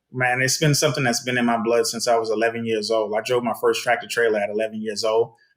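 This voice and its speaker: A man with a Southern US accent talks at a very fast pace and a medium pitch, with hardly any pauses. His intonation is monotone and flat, and his loudness stays very even. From US South, South Carolina. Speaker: trucking consultant. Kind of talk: podcast interview.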